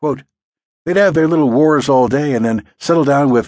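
A man with a plain, everyday voice, pitched fairly high for a man. His intonation is lively against a quiet background. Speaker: audiobook narrator. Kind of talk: audiobook narration of nonfiction, reading aloud. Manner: storytelling, steady, wry and lively; shifts into quoted speech for Wolfman's recollections.

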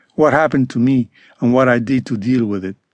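Dry and close with no echo, the recording has a man talking at a fairly quick pace and medium pitch with ordinary pitch variation. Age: 60s. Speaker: author narrating own memoir. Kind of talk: unabridged audiobook reading of a first-person trauma memoir. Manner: measured, earnest, confessional pace; sober, quietly wounded tone recounting childhood neglect.

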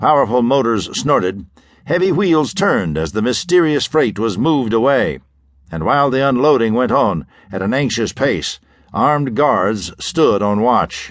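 The voice takes a dramatic tone, with very wide pitch swings. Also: man, medium pitch for a man, moderate pace. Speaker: audiobook narrator. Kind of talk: scripted pulp-fiction audiobook narration. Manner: dramatic, suspenseful, measured pacing.

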